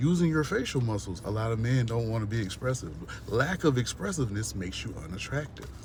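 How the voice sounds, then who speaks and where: A somewhat breathy man's voice at medium pitch, fairly quick, with audible room echo. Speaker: vlogger. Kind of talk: rant. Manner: animated.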